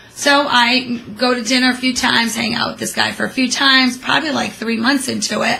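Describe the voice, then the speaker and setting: Over noticeable background noise, a woman speaks in a high-pitched voice with an animated tone. She moves at a fairly quick pace with hardly any pauses. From immigrant from Portuguese-speaking country, raised in US. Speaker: co-host, host's mother. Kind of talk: casual chat.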